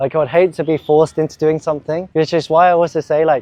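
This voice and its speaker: A man with an English accent talks at a very fast pace in a fairly high pitch. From England. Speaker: YouTuber and language learner. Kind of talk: interview answers. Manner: casual, many fillers.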